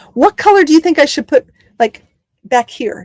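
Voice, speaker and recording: A woman with a slight Southern US accent and lively intonation, in a dry, close sound with no echo. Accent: slight Southern drawl, stronger when relaxed. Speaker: travel vlogger living on the road in an RV. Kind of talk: live stream chat with viewers. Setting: inside a camper van on the road. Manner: fast; animated.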